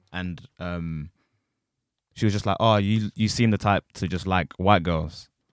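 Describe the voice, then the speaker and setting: In a very clean recording with a silent background and a dry, close sound free of echo, a man speaks fairly slowly in a very deep, low pitch with fairly even intonation. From southeast England. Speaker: podcast co-host. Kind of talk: casual chat.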